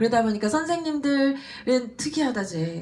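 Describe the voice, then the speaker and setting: Her tone is animated, her pitch high, and her pitch swings very wide as this woman talks at a fairly quick pace. Noticeable background noise runs underneath. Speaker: business speaker, former elementary teacher. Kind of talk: motivational seminar talk.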